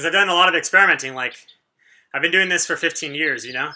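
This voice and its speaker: High-pitched for a man, his voice has a bright, sharp tone. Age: 30s. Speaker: fitness youtuber. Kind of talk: casual live-stream workout chat. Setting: live stream at home.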